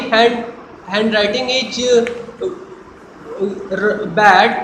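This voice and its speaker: Over noticeable background noise, a raised, projected voice moves at a very slow pace with ordinary pitch variation. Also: man. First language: not English. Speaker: college student. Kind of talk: mock job interview answer. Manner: hesitant, stammering, not fluent.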